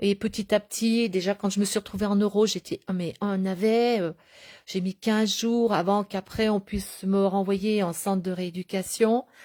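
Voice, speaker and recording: A woman speaks at a medium pitch and moderate pace, her tone dark and mellow, her intonation monotone and flat. The sound is dry and close with no echo, in a very clean recording with a silent background. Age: 60s. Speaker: stroke survivor vlogger. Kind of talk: personal video diary. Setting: at home in a medical bed. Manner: halting, many hesitations.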